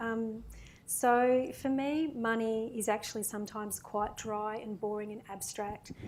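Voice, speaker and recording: Soft-spoken, a woman talks with an Australian accent at a fairly high pitch. Her intonation is fairly even. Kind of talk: panel Q&A reading prepared remarks.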